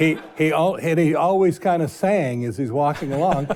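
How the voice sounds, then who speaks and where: Ordinary pitch variation at a moderate pace, with noticeable background noise. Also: man. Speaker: market analyst, commodity broker. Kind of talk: panel discussion, recollection. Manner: halting, repetitive.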